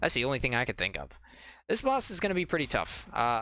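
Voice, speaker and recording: Vocal fry runs through this man's bright, sharp tone. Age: 20s. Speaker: gaming YouTuber. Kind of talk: let's play commentary. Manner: casual, rambling.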